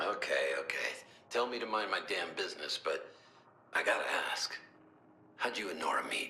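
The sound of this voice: A man puts on a character voice that is low in pitch with a bright, sharp tone. His pace is moderate. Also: lively intonation.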